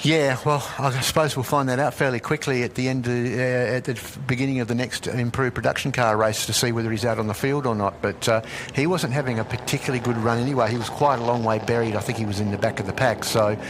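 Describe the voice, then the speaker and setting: Over noticeable background noise, a man with a medium pitch talks at a very fast pace with hardly any pauses and fairly even intonation. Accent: Australian. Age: 60s. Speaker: motorsport commentator. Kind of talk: live commentary.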